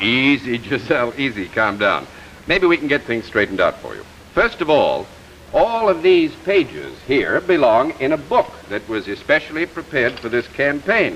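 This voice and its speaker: Over noticeable background noise, a man talks at a moderate pace in a fairly high pitch with very wide pitch swings. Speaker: TV host. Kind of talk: promotional presentation.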